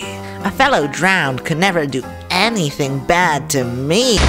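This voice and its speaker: A cartoonish character voice talks at a moderate pace with a low-to-middle pitch. Loud music plays in the background. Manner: eager, trusting.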